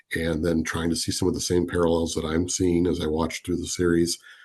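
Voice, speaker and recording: Over a quiet background, a man with an American accent speaks in a very deep, low pitch that sounds somewhat breathy. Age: 50s. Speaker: business leader. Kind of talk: podcast interview.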